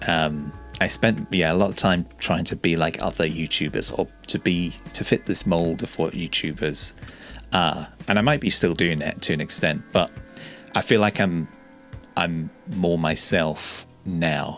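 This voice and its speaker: Music plays behind a man with a very deep, low voice. He talks at a fairly slow pace with ordinary pitch variation. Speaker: YouTuber. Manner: calm, not loud.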